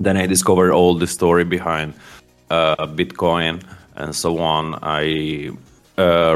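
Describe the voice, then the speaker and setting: A man with an Italian accent speaks in a very deep, low voice with monotone, flat intonation as music plays in the background. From Italy, Milan. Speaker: indie game founder. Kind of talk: interview. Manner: halting.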